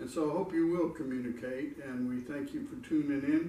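A man's fairly even intonation in audible room echo. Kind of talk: casual vlog chat. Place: home room.

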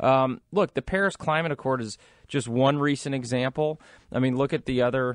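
An ordinary speaking voice at a moderate pace, with ordinary pitch variation and a dry, close sound with no echo. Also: man, medium pitch for a man. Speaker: radio co-host, investment advisor. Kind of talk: radio talk show.

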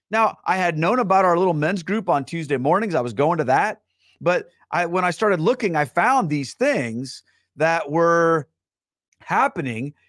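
A man talks at a moderate pace in a high pitch. The sound is dry with no echo, and the background is quiet. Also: lively intonation, very even loudness. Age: 40s. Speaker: livestream host. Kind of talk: live-streamed casual talk to viewers; casual livestream talk. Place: home room. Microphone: studio mic.

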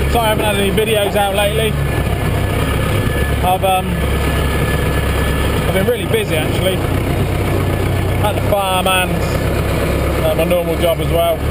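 Long, frequent pauses at a fairly slow pace over loud background noise. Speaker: farmer driving tractor. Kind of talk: casual vlog chat. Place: farm machine. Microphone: camera far.

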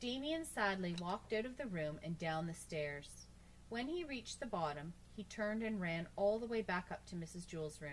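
Here a passage is read aloud in a natural voice. Its intonation sounds lively.

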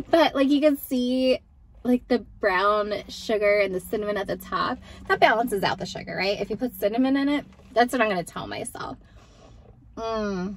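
There is light background noise as a woman talks at a moderate pace. She has a fairly high pitch and an American accent. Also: ordinary pitch variation. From Texas. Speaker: vlogger. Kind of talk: casual talk to camera. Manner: soft-spoken, chatty. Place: car. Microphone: phone near.

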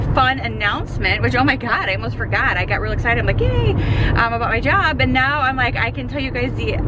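Through loud background noise, a woman talks at a very fast pace, the sound dry with no echo. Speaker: vlogger. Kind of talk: casual vlog chat. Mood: excited. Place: car. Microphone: phone near.

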